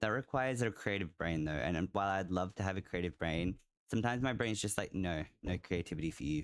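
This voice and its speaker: A man's very deep, low voice with an Australian accent, very fast pace and ordinary pitch variation, on a very clean recording with a silent background. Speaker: video game streamer. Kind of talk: live gameplay commentary. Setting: live stream. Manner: casual, halting with fillers.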